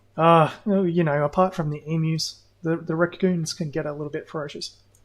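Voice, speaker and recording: Fairly quick delivery in an Australian accent, on a very clean recording with a silent background. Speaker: gaming streamer. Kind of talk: casual live gameplay commentary. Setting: livestream.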